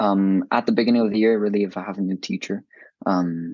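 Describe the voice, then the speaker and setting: Against a quiet background, a man speaks at a moderate pace in a fairly low pitch with monotone, flat intonation. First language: not English. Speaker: student with dyslexia. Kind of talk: interview. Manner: halting, many fillers.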